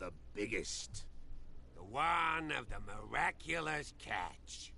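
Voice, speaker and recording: A man speaks at a very slow pace in a put-on character voice. Background noise is clearly heard. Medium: video game.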